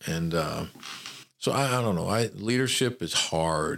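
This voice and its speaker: This man speaks with a Southern US accent. His pitch varies an ordinary amount. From Memphis, Tennessee. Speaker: retired army general, university administrator. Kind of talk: interview.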